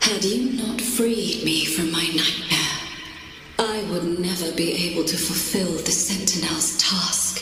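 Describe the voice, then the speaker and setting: A female-sounding, put-on character voice speaks at a medium pitch and a fairly slow pace. There is strong echo and clear background noise. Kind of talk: lofty archaic fantasy speech. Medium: game stream. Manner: solemn, formal.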